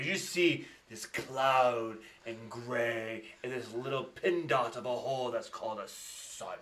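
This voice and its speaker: This man puts on a character voice at a medium pitch. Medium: actual play. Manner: cocky, scheming.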